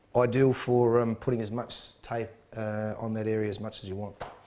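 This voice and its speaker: An Australian accent comes through. The speaker is a man. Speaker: sports trainer. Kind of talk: tutorial.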